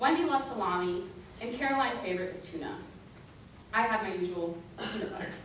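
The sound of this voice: The intonation is lively and the pace fairly quick. A fairly bright tone comes through with audible room echo. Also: woman, medium pitch for a woman.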